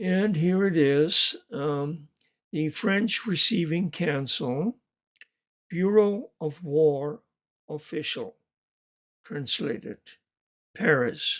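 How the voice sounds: A man talks at a very slow pace with long, frequent pauses. His pitch is fairly high, with ordinary pitch variation.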